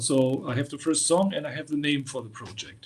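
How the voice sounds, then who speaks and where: At a fairly quick pace, a man talks in a somewhat breathy voice. His pitch is fairly high, with ordinary pitch variation. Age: 60s. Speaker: heavy metal musician. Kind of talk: interview. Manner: halting, many repetitions.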